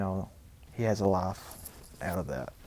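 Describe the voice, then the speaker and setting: Music in the background under a man with an American accent, talking at a moderate pace. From US South, small town. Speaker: gaming YouTuber. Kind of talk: casual gameplay storytelling. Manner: rambling, halting.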